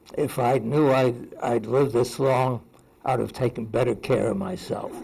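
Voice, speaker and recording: Vocal fry marks this man's medium-pitched voice as he speaks at a fairly slow pace. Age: 90s. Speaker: retired research institute founder. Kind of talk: birthday speech and Q&A. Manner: halting.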